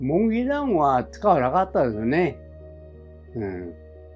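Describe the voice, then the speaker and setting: A man's fairly high voice with very wide pitch swings, music playing in the background. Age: 80s+. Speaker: war veteran. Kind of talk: interview answer. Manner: casual, conversational.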